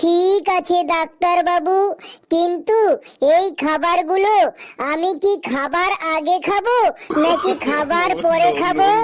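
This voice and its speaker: A cartoonish character voice at an extremely high pitch drawls along at a very slow pace. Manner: naive, pleading.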